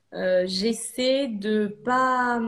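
Her intonation stays fairly even. The woman's voice is somewhat breathy. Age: 30s. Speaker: ceramicist. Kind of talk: casual interview. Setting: live video stream.

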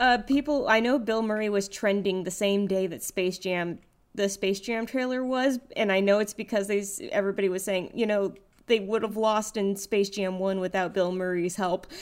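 An ordinary speaking voice from a woman, medium in pitch, at a moderate pace with fairly even intonation. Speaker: podcast co-host. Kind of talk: casual chat.

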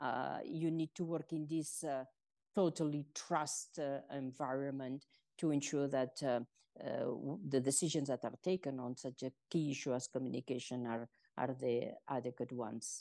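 A woman's very deep, low voice with a dark, mellow tone, fairly even intonation and a moderate pace against a quiet background. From Spain. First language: Spanish. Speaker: former UN communications chief. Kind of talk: interview.

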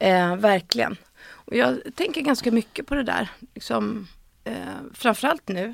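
Using vocal fry, a woman speaks at a fairly slow pace with very wide pitch swings. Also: fairly high pitch for a woman. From Stockholm, Sweden. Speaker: actress and screenwriter. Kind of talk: casual interview. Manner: hesitant, many fillers.

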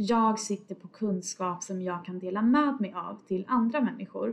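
In a plain, everyday voice, a woman speaks at a fairly high pitch and fairly slow pace with ordinary pitch variation. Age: 20s. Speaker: podcast host, data analyst. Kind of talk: casual solo podcast monologue.

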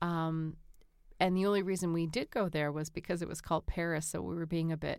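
With an American accent and monotone, flat intonation, the speaker moves at a fairly quick pace on a very clean recording with a silent background. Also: woman. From Boston, US. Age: 40s. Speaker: podcast co-host. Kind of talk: calm conversation for sleep.

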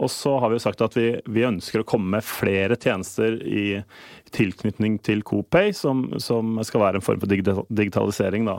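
In a dry, close sound with no echo, a man with an unremarkable speaking voice talks at a moderate pace in a fairly low pitch with fairly even intonation. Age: 40s. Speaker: payments manager at a retail company. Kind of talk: interview. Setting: studio.

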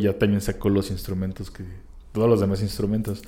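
Here a man speaks in a dark, mellow tone. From Mexico, Querétaro. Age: 30s. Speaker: drummer. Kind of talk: interview conversation.

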